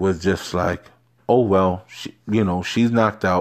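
A man with a New York accent talks at a fairly low pitch with fairly even intonation. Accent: New York City. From New York City, Harlem. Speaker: solo podcaster. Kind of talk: casual monologue.

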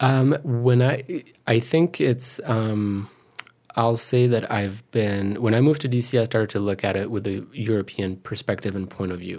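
Speaking with a French accent, a man keeps a medium pitch. His pace is moderate and his pitch varies in an ordinary way. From France, Paris suburbs. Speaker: moderator and photographer. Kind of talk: casual interview. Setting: studio.

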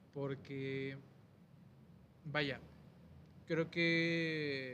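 In audible room echo, a man speaks with fairly high pitch and monotone, flat intonation. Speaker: podcast host. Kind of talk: casual chat.

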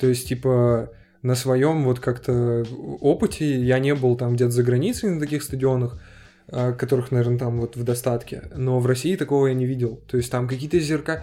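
The man's tone is dark and mellow, his intonation fairly even. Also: medium pitch for a man, moderate pace. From Turkmenistan (Ashgabat). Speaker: podcast co-host. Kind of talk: casual chat.

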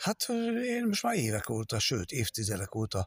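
A somewhat breathy voice moves at a fairly slow pace on a very clean recording with a silent background. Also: man, dry, close sound with no echo. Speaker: musician. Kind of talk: interview.

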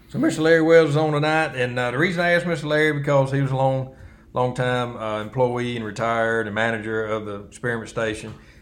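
Speaking at a very fast pace, a man with an American accent uses a medium pitch with ordinary pitch variation. Audible room echo surrounds the recording. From US South (Alabama, Wiregrass). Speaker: podcast co-host. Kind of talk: casual chat. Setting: studio.

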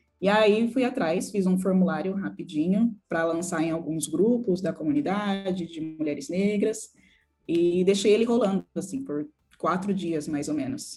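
A woman's dark, mellow voice sits at a medium pitch and is somewhat breathy. She talks at a fairly slow pace with lively intonation. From São Paulo, Brazil (Jaraguá, periphery). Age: 20s. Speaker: UX designer and community founder. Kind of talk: interview.

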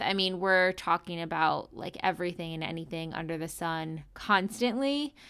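In an ordinary speaking voice, a woman talks at a fairly slow pace with lively intonation and an American accent. The recording is very clean, with a silent background. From US East Coast. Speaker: podcast producer and co-host. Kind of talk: interview.

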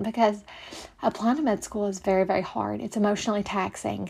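The voice sounds shaky and somewhat breathy. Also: woman. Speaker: podcast host, medical student. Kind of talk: casual advice monologue. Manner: shaky voice.

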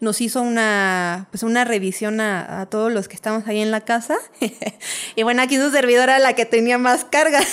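A woman with a fairly high pitch, ordinary pitch variation, and a moderate pace. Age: 30s. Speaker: architect and dancer. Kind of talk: storytelling interview.

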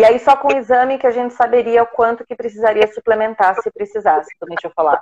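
A woman with a fairly high pitch talks at a very fast pace with hardly any pauses, her loudness swinging widely and her pitch varying in an ordinary way, in a dry, close sound with no echo. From São Paulo, Brazil. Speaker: doula trying to conceive. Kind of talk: live Q&A call-in.

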